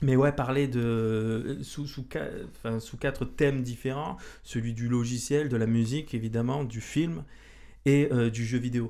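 Dark and mellow in tone, a man speaks at a medium pitch. His pace is fairly slow and his intonation fairly even. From Marseille, southern France. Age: 30s. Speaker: podcast host. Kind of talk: casual chat. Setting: indoor room with couch.

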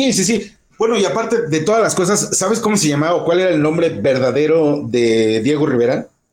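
A man talks at a high pitch and a fairly quick pace, his pitch swinging very widely. His loudness stays very even, and he hardly pauses at all. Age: old. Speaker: radio news host. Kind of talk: casual news chat.

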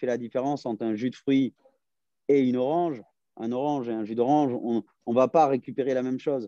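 Big swings in loudness mark this man's fairly quick delivery at a medium pitch, with fairly even intonation. The sound is dry and close, without echo. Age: 30s. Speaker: fitness and nutrition coach. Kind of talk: casual interview. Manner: hesitant, many fillers.

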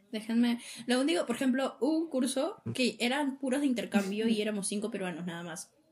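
A woman's fairly high, fairly quick delivery in a plain, everyday voice. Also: lively intonation. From Peru. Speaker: podcast co-host, university student. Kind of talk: casual chat.

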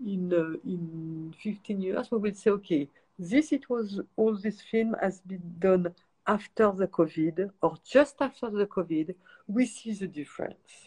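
A woman's medium-pitched, somewhat breathy voice with a dark, mellow tone, lively intonation and a French accent. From France, countryside. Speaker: cinematographer. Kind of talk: interview. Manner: halting.

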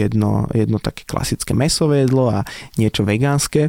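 With a dark, mellow tone, a man's voice comes through dry and close with no echo. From Slovakia, village near Nitra. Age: 30s. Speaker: restaurateur. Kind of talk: casual interview.

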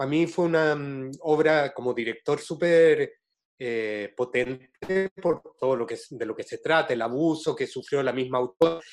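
A man with a Chilean accent at a fairly slow pace. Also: fairly high pitch for a man, ordinary pitch variation. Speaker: interviewer, theatre director. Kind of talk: interview conversation.

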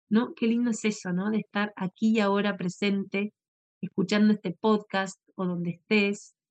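In a calm, soothing tone, a woman speaks at a moderate pace with monotone, flat intonation. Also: medium pitch for a woman. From Argentina. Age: 40s. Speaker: podcast host, yoga and meditation teacher. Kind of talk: casual talk and guided meditation. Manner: halting.

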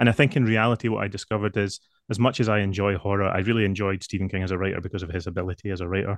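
A man with a Lothian accent speaks very fast at a fairly low pitch and with fairly even intonation, the sound dry and close with no echo against a quiet background. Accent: Scottish (Lothian). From Scotland, near Edinburgh. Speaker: novelist. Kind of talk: interview.

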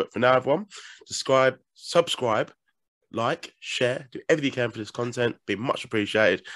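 In a raspy, put-on character voice, a man speaks at a medium pitch and moderate pace, leaving long, frequent pauses. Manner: stuttering.

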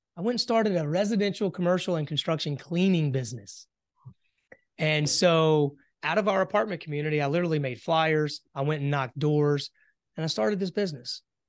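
This speaker talks at a fairly quick pace with an American accent. Pitch varies in an ordinary way over a quiet background. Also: man, fairly high pitch for a man. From US South, South Carolina. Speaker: entrepreneur. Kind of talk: interview.

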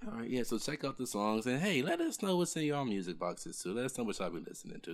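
A man talking at a very fast pace, with very wide pitch swings. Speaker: podcast co-host. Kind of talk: casual chat.

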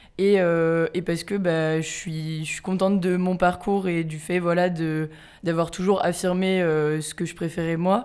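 A woman speaks very slowly in a fairly low, flat monotone, with hardly any pauses. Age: 20s. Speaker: student activist. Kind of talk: casual conversation. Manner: hesitant, many fillers.

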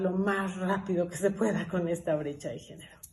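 Audible room echo surrounds a woman whose voice is somewhat breathy, with a dark, mellow tone. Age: 50s. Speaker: energy sector consultant. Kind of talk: interview.

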